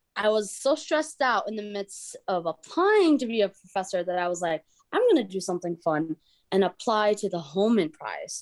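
With a normal speaking voice at medium pitch, a woman talks at a moderate pace with lively intonation in a dry, close sound with no echo. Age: 30s. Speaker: professor and travel documentary creator. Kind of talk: interview.

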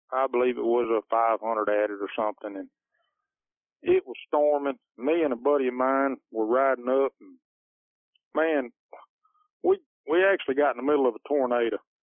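Talking at a fairly quick pace with long, frequent pauses, a man with a Louisiana accent shows ordinary pitch variation and big swings in loudness. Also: medium pitch for a man. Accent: US Southern (Louisiana). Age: 40s. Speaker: plumber and competition coon hunter. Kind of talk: casual interview. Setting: phone call.

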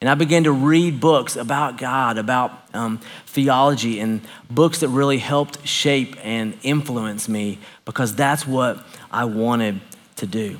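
A man with a Southern US accent, medium pitch and a fairly slow pace. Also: ordinary pitch variation. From US South, Knoxville, Tennessee. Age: 40s. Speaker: pastor. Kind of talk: sermon. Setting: church.

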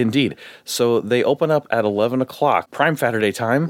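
A man with an unremarkable speaking voice, moderate pace, ordinary pitch variation and very even loudness, on a very clean recording with a silent background. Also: medium pitch for a man, dry, close sound with no echo. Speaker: podcast host.

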